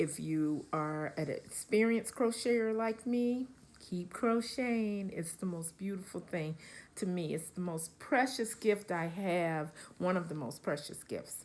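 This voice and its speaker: A plain, everyday voice from a woman at medium pitch, fairly slow with lively intonation. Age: 60s. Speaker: crochet vlogger. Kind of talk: casual vlog talk to camera. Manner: relaxed, with many fillers.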